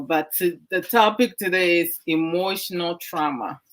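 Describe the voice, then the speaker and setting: This is a woman speaking. She has a Ghanaian accent. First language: Twi. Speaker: online talk show host. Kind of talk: discussion talk. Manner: code-switching English and Twi.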